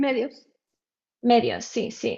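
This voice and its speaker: Against a quiet background, a dark, mellow voice with a non-native accent speaks in a monotone, flat way. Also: woman. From Mallorca, Spain then abroad; Dutch-Swedish-Panamanian family. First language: not Spanish (speaking Spanish). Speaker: guest, ocean conservation interest. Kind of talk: casual interview. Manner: halting.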